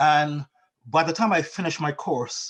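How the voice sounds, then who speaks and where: A man with a Barbadian accent. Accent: Barbadian lilt, retained. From Barbados. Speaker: financial technology company founder. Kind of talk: interview. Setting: video call. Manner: halting, many repetitions.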